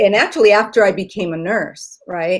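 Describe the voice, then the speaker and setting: A woman's voice at a medium pitch. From Puerto Rico, then Virginia from about age eight. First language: Spanish. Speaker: nurse and lawyer. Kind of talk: interview. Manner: hesitant, many fillers.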